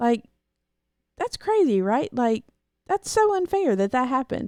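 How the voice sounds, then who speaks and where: Soft-spoken and delivered at a fairly slow pace, this voice swings very widely in pitch while its loudness stays very even, in a dry, close recording with no echo. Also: woman, high pitch for a woman. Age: 20s. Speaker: host's wife, guest. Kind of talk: casual chat. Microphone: microphone processed to pick up quiet voice.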